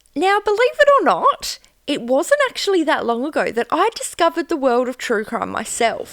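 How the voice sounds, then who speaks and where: At a moderate pace, this voice with an Australian accent swings very widely in pitch. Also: woman, extremely high pitch for a woman. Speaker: true crime podcaster. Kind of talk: casual podcast chat.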